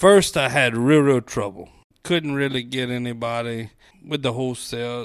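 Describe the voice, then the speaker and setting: This man speaks with a Cajun accent and ordinary pitch variation. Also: medium pitch for a man, moderate pace, very clean recording, silent background. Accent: Cajun Louisiana English. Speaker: small-town mayor. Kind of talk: casual interview.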